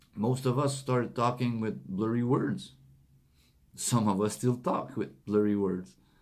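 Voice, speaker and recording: A man with a non-native accent speaks at a medium pitch and a fairly slow pace, with ordinary pitch variation. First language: not English. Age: 40s. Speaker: motivational speaker. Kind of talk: motivational monologue. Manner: halting.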